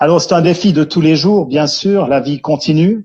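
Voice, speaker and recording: A man is speaking. He has a Jura accent. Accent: Swiss French (Jura). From Switzerland, Jura region. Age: 50s. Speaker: care centre founder, entrepreneur. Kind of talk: testimony interview. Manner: hesitant, many fillers.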